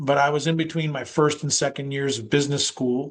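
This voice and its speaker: This man's voice sits at a fairly high pitch and moves at a moderate pace. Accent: American. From United States, child of Greek immigrants. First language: Greek. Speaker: business executive. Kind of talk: interview.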